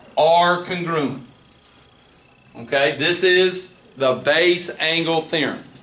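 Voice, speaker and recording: This man talks at a very slow pace in a high pitch. Room echo is audible around him. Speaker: math teacher. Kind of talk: classroom lecture.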